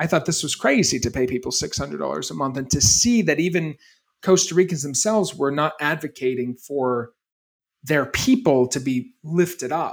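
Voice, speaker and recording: With an American accent and a normal speaking voice, a man talks at a fairly quick pace and a fairly high pitch. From US Northeast, Maine. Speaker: entrepreneur and retreat center founder. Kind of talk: interview conversation.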